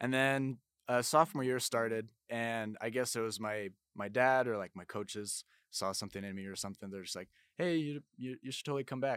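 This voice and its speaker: The recording is very clean, with a silent background and a dry, close sound with no echo. The speaker moves at a fairly quick pace with ordinary pitch variation. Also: man, medium pitch for a man. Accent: American. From Utah, US. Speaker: amateur wrestler. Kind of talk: casual interview. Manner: halting, many fillers.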